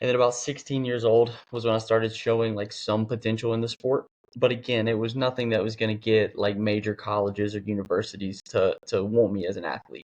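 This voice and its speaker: Hardly pausing, a man speaks at medium pitch with an American accent and fairly even intonation. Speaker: athlete and fitness coach. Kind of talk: podcast interview. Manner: casual, filler-heavy.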